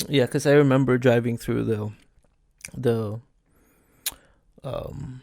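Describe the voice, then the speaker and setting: With a Filipino accent, a man speaks very slowly at medium pitch in a dark, mellow tone. His intonation is monotone and flat, broken by long, frequent pauses. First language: Tagalog. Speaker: podcaster. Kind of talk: casual chat. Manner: halting.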